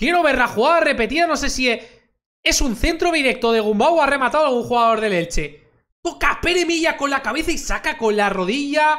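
In a quiet background, a man talks at a fairly quick pace. His pitch is high and his tone animated. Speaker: football commentator. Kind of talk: live football commentary. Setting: stream recording. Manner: excitable; fast, animated. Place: home room. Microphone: studio mic.

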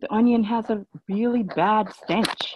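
Against noticeable background noise, a woman with an American accent sounds somewhat breathy. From Jamaican American. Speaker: business consultant; conference speaker. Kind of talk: conference talk. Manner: halting. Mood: earnest, persuasive. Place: home room. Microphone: earbuds.

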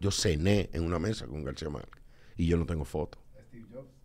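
With a very deep, low pitch and vocal fry, a man speaks at a moderate pace. His intonation is lively. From Dominican Republic. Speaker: filmmaker and politician; politician. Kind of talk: casual chat. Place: studio. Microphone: studio mic.

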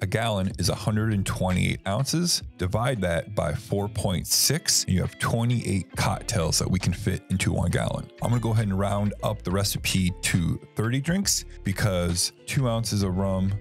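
Over faint background music, a man speaks at a fairly low pitch and a fairly slow pace with ordinary pitch variation, in a dry sound with no echo. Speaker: cocktail host. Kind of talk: tutorial. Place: bar. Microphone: studio mic.

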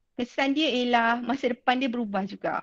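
In a quiet background, a woman with a high pitch talks at a moderate pace with ordinary pitch variation. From Malaysia. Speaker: secondary school physics teacher. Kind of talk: online class lecture. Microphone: video call.

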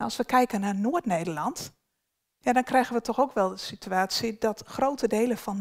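Against a quiet background, a woman speaks at a moderate pace with lively intonation. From northern Netherlands. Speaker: beaver management ecologist; presenter. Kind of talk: workshop presentation. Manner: hesitant, many filler sounds. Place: hall.

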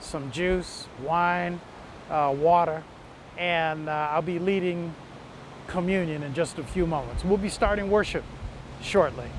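In a dry sound with no echo and light background noise, a man speaks at a high pitch with a warm tone and ordinary pitch variation. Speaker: pastor. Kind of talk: short sermon preview and worship invitation. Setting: video message before online worship. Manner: warm, earnest, pastoral; conversational, with occasional filler pauses. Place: beach. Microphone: lapel.

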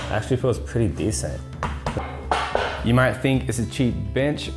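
Over clear background music, the man keeps a moderate pace. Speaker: fitness vlogger. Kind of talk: casual vlog chat. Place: home room. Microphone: lapel.

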